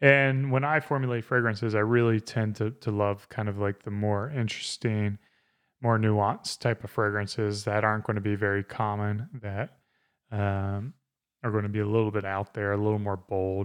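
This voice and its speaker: A man with an American accent and a plain, everyday voice speaks at a moderate pace and fairly low pitch, his intonation fairly even over a quiet background. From South Carolina. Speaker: podcast host and father. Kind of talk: casual chat. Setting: home studio.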